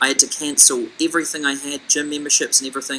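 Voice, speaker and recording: A man speaks at a fairly high pitch with a New Zealand accent. Noticeable background noise runs behind him. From New Zealand, Auckland. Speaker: business consultant. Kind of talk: webinar sales presentation.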